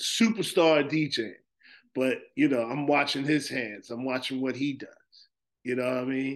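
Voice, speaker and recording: Here is a man with a plain, everyday voice and an American accent. His medium pitch has ordinary variation, and he talks at a fairly slow pace. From New Jersey, Plainfield. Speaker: DJ. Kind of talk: casual chat.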